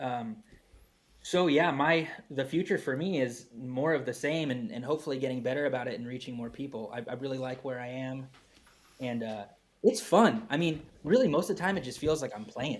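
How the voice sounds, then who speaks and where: A man speaks in an unremarkable speaking voice at a medium pitch. His intonation is lively, his pace fairly quick, and his loudness swings widely. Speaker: farmer and farming teacher. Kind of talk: podcast interview.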